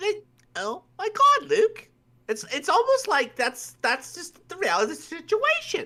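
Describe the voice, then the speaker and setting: This put-on character voice sits at an extremely high pitch with very wide pitch swings. It moves at a moderate pace. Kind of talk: casual, filler-heavy.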